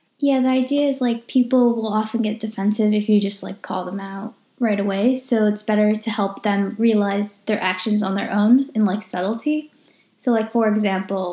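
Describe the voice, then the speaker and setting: Somewhat breathy and fairly high-pitched, a woman speaks at a moderate pace in a dark, mellow tone. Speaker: podcast host. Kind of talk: casual conversational podcast.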